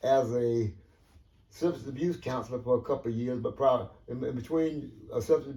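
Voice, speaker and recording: Talking at a fairly quick pace, a man uses a medium pitch with ordinary pitch variation and a dark, mellow, somewhat breathy tone. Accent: Georgia. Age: 70s. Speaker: retired social worker. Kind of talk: oral history interview. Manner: halting, many fillers.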